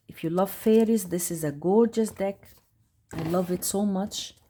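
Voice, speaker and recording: With a non-native accent, the speech unfolds at a fairly slow tempo. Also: woman. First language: not English. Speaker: tarot youtuber. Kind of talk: casual product review. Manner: halting; animated.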